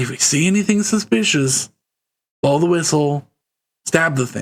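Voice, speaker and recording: A man's put-on character voice, fairly high-pitched, at a moderate pace. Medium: actual play.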